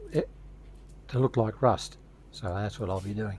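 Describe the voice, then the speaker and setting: A man's dark, mellow, somewhat breathy voice, fairly low and fairly even in intonation, in an Australian accent at a fairly quick pace. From Australia, Victoria (Torquay near Geelong). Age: 70s. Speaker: hobbyist model builder. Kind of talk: tutorial.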